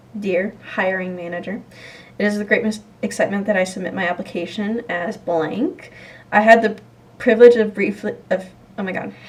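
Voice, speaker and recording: Doing a put-on character voice, a raspy woman speaks at a moderate pace and medium pitch, her intonation fairly even while her loudness swings widely. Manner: stumbling over words.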